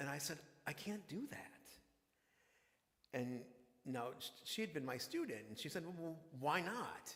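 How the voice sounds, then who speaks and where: A man's voice carries audible room echo. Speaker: minister. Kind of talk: sermon.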